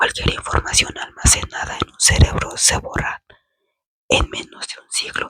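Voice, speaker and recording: A woman whispers at a fairly slow pace, the sound dry and close with no echo. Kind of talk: whispered ASMR book reading. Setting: indoors, bedroom. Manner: whispered, soft-spoken, slow.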